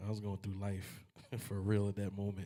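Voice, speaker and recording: Somewhat breathy, fairly even intonation at a moderate pace, on a very clean recording with a silent background. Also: man. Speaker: singer. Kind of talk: casual chat.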